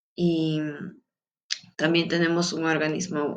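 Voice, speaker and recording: This woman speaks in a Peruvian accent. Her pitch is fairly low. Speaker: student. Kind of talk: class presentation. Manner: halting, many fillers.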